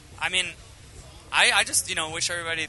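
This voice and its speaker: Noticeable background noise and a man's fairly quick delivery. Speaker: rock band singer. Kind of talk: casual interview chat. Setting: interview at music festival. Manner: halting, many fillers.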